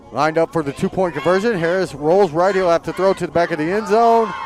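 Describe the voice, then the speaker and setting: Music plays in the background. A man speaks in a high voice with ordinary pitch variation. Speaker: play-by-play announcer. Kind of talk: live sports commentary. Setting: live broadcast at a high school football game. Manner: loud.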